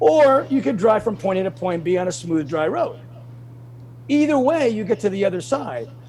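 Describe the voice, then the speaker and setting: A high-pitched man in an animated tone, with noticeable background noise. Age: 60s. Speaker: bodybuilder. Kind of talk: interview.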